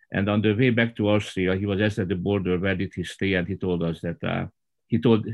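This man has a Hungarian accent and a very deep, low pitch. He keeps a moderate pace with fairly even intonation. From rural southern Hungary. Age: 60s. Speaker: Baptist pastor. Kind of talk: roundtable discussion. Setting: video call.

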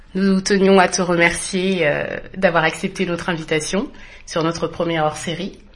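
A woman with a fairly low pitch speaks in a monotone, flat intonation. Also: moderate pace. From France. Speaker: podcast co-host. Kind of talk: casual interview.

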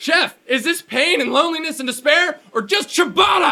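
A man's put-on character voice, raised and shouting at an extremely high pitch, bright and sharp in tone, with vocal fry, ordinary pitch variation and a moderate pace.

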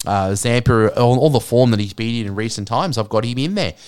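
The recording is very clean, with a silent background. A man with an Australian accent talks at a fairly quick pace. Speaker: fantasy sports podcaster. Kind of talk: casual solo monologue. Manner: casual, many filler words.

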